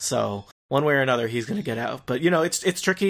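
Recorded very cleanly over a silent background, a man speaks at medium pitch with ordinary pitch variation. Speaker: guest, TV fan. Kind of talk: casual chat. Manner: rambling, hesitant.

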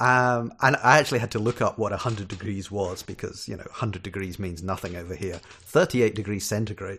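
With a Scottish accent, a man speaks at a fairly low pitch and moderate pace, with ordinary pitch variation and hardly any pauses. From Scotland. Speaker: software developer, podcast guest. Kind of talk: casual chat.

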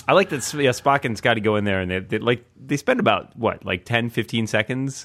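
At a fairly quick pace, a man with a plain, everyday voice speaks at medium pitch with lively intonation. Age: 30s. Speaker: tech writer and podcaster. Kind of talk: casual chat.

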